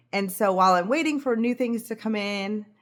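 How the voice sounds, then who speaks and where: A woman with ordinary pitch variation, in a very clean recording with a silent background. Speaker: knitting vlogger. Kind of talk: casual vlog chat. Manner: fast.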